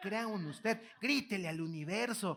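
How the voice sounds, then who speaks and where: A man speaks in a raised, projected voice with a bright, sharp, animated tone and lively intonation, keeping a fairly slow pace. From Mexico, Guanajuato. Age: 20s. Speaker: motivational speaker. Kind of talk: keynote lecture to live audience. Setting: auditorium with audience. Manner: animated, repetitive false starts.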